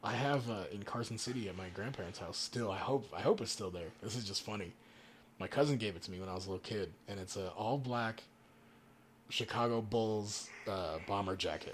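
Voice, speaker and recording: A man with an American accent talks at a fairly quick pace. His is a plain, everyday voice, fairly low in pitch. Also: ordinary pitch variation. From Nevada. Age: 20s. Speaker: DJ. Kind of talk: casual chat.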